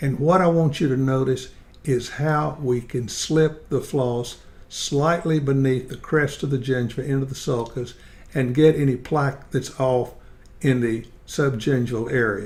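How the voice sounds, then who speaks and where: Somewhat breathy, a man talks at a fairly slow pace and medium pitch, keeping his intonation fairly even. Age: 80s+. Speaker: dentist and dental educator. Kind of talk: tutorial.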